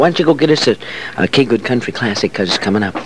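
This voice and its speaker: A man with an American accent at a very fast pace, lively intonation, dry sound with no echo and light background noise. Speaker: radio disc jockey / host. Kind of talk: country radio DJ patter with station IDs, weather and time checks. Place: studio. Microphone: old recording.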